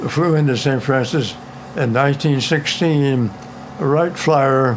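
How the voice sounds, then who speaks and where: Over noticeable background noise, a man with a fairly high pitch speaks fairly slowly, with ordinary pitch variation and very even loudness. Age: 80s+. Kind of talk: interview answer.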